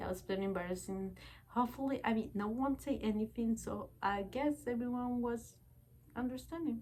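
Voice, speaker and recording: A woman speaks with a Spanish accent. Her voice is somewhat breathy, with ordinary pitch variation. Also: fairly high pitch for a woman, moderate pace. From Bolivia. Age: 20s. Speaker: vlogger. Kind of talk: casual personal vlog talk. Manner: halting, many fillers.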